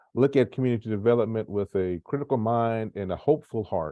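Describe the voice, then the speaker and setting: The voice belongs to a man with a Memphis accent. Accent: US Southern (Memphis). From Memphis, Tennessee. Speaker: nonprofit community manager moderating an author talk. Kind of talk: moderated panel discussion. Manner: halting, many fillers.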